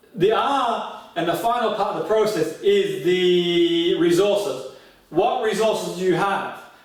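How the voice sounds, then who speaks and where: Fairly slow speech with ordinary pitch variation, noticeable background noise and audible room echo. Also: man, high pitch for a man. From Australia, southern Italian migrant family. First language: Italian. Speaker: motivational coach. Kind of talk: seminar talk. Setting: live stream. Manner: animated.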